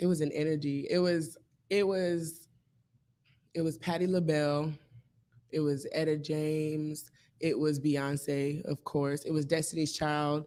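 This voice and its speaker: A woman speaks at a fairly slow pace with a very deep, low pitch and a dark, mellow tone, her intonation monotone and flat, with long, frequent pauses. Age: 20s. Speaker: singer-songwriter. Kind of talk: interview. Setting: live show studio. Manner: halting.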